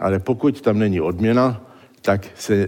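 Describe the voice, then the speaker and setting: The speaker has a non-native accent and a dark, mellow tone. Delivery is fairly slow, with fairly even intonation. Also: man. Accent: foreign accent in Czech. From born in exile, trained in the United States. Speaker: neurologist. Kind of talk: public lecture. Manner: halting.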